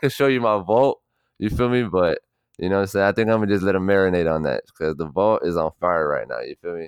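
In an ordinary speaking voice, a man with an American accent speaks at a fairly low pitch with ordinary pitch variation. The background is quiet, and the sound is dry and close with no echo. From South Florida (Miami and Broward, Miramar). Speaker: music producer and artist. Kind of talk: casual chat.

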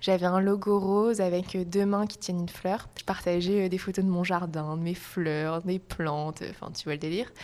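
In a normal speaking voice, a woman of medium pitch speaks at a fairly slow pace with fairly even intonation. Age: 20s. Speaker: yoga teacher. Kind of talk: casual chat.

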